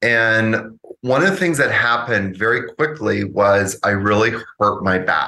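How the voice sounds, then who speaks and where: A man with a Canadian accent and an unremarkable speaking voice, medium in pitch, with ordinary pitch variation, a fairly slow pace and very even loudness. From Canada. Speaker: yoga teacher. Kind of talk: casual interview.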